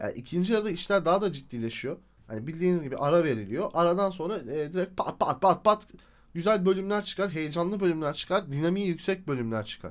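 Very fast and animated, a man speaks at a high pitch in a very clean recording with a silent background. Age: 30s. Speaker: YouTuber, TV series reviewer. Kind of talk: casual video review monologue.

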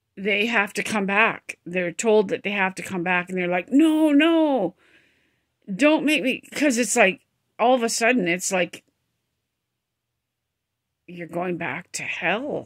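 In a quiet background, a woman speaks at a fairly slow pace with lively intonation and long, frequent pauses. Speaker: vlogger. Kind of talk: casual vlog chat. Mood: emotional, reflective storytelling. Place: home room. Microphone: phone near.

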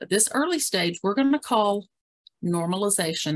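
A woman speaks at a fairly quick pace. Her intonation is lively, and the background is quiet. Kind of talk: webinar presentation. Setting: video call. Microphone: video call.

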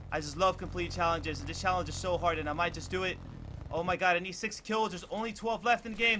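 A man speaks in a raised, projected voice at a very fast pace. His tone is bright and sharp, and his pitch sits high. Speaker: gaming youtuber. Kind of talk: live gameplay commentary. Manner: animated.

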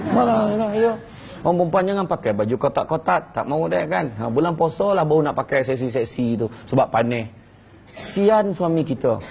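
The speaker is a man with a fairly high pitch. His voice moves through very wide pitch swings. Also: moderate pace. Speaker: religious preacher. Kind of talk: sermon. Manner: animated.

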